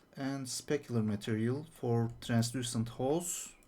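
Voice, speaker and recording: Speaking very slowly with a non-native accent, a man has a dark, mellow tone on a very clean recording with a silent background. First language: not English. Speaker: 3D artist. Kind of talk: tutorial. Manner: hesitant, with fillers.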